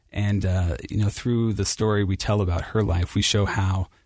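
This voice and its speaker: A man with an American accent speaks at a moderate pace in a fairly low, somewhat breathy voice, his intonation flat and monotone. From Ohio, Cincinnati. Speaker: church history editor. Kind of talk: interview.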